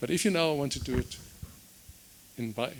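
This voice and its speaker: Vocal fry runs through speech delivered at a very fast pace with lively intonation. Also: man. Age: 70s. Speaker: energy consultant. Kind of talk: seminar talk.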